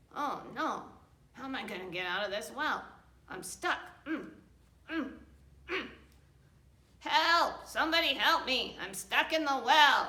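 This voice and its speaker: Using a put-on character voice, a woman speaks at a high pitch. Her pace is fairly slow, with long, frequent pauses. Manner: panicked, calling for help.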